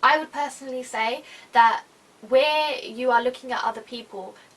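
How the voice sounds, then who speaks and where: With a British accent, a woman talks at a moderate pace. Her voice is high, with lively intonation. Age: 20s. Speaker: YouTuber. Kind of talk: casual vlog talk.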